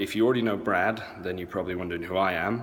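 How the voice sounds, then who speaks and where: A man speaks at a very deep, low pitch with ordinary pitch variation. Audible room echo surrounds his voice. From England and US (half English, half American). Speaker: event organizer, online seller. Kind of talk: casual walkthrough vlog. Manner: casual, many fillers.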